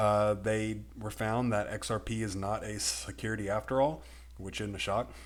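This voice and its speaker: A man with a Texan accent, fairly low pitch and fairly even intonation. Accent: Texan American. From Texas. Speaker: crypto YouTuber. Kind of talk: video commentary. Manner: relatively slow.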